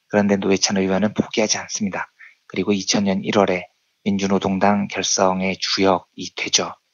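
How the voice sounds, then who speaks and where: In a solemn tone, a man speaks at a moderate pace with a fairly low pitch, monotone, flat intonation and very even loudness. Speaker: economics journalist. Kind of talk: radio-style commentary segment. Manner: solemn, mournful.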